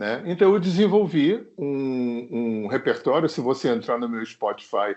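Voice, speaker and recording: A man with a plain, everyday voice talks at a fairly slow pace, his fairly high pitch carried by lively intonation. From Rio de Janeiro, Zona Sul. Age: 60s. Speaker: singer-songwriter. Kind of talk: interview. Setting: remote recording.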